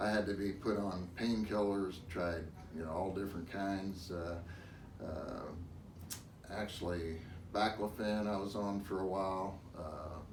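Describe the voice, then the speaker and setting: The voice stays flat and monotone, broken by long, frequent pauses, with audible echo from the room. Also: man, fairly low pitch for a man, fairly slow pace. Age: 60s. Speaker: patient giving a testimonial. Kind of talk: interview testimony.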